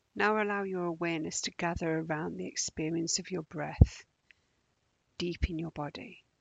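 A woman with a normal speaking voice talks at a fairly low pitch, her intonation fairly even while her loudness swings widely. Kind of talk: guided meditation. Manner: slow, calm, soothing, with long pauses between gentle instructions; soft-spoken, even, unhurried.

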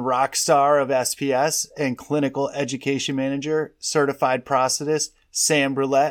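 This man has an unremarkable speaking voice, fairly high in pitch, moving at a moderate pace with hardly any pauses. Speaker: podcast co-host and sales manager. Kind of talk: podcast interview.

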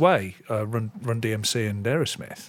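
A man with an English Midlands accent. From English Midlands, near Coventry. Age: 50s. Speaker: podcast host. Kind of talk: casual chat. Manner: halting, many fillers and restarts.

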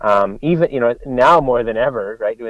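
An ordinary speaking voice, a man with a Canadian accent talks at a fairly quick pace with ordinary pitch variation. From Canada. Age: 40s. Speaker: country singer-songwriter. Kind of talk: casual interview.

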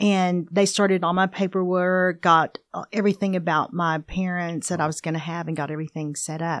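With an American accent and a plain, everyday voice, a woman speaks at a moderate pace and a fairly low pitch, using ordinary pitch variation against a quiet background. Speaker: pastor's wife, adoptee. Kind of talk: personal testimony in casual interview.

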